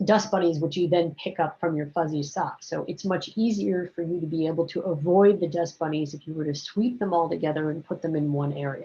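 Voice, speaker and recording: Using a plain, everyday voice, a woman with fairly low pitch talks at a fairly quick pace with ordinary pitch variation and hardly any pauses. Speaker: biology teacher. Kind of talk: recorded lecture. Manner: casual, conversational with fillers.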